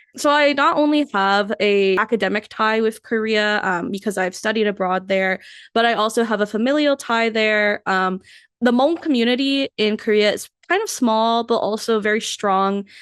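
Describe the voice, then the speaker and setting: A woman with a normal speaking voice talks at a moderate pace and a fairly high pitch, her pitch varying in an ordinary way and her loudness very even, against a quiet background. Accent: American. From California, US. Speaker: podcast co-host, intern. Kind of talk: casual chat. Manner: casual, filler-heavy.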